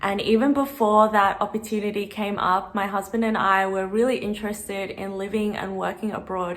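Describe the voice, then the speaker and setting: A woman at a medium pitch and fairly quick pace, against noticeable background noise. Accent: Australian. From Australia. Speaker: vlogger. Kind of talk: Q&A vlog. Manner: casual.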